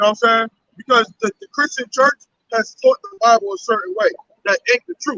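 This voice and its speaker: A man speaks at a fairly quick pace in a raised, projected voice, his pitch extremely high and his tone bright and sharp, with lively intonation and big swings in loudness. The sound is dry and close, with no echo. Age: 70s. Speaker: street preacher. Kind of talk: religious street debate. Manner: halting.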